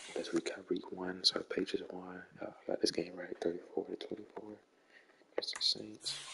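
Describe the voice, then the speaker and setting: A man speaks quietly at a moderate pace. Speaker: gaming streamer. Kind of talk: live stream gameplay commentary.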